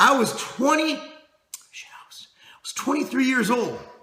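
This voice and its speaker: A man is shouting. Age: 30s. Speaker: fitness company owner and video host. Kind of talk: casual vlog monologue. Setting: office, speaking to camera. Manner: loud, shouting; halting, many repeated words.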